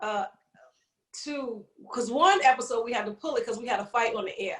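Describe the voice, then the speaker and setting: Talking fairly quickly with a New York accent, a woman has a high pitch. Her intonation is lively, with big swings in loudness. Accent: New York City. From Brooklyn, New York (East New York). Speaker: comedian and podcaster. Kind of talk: casual interview chat. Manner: fast.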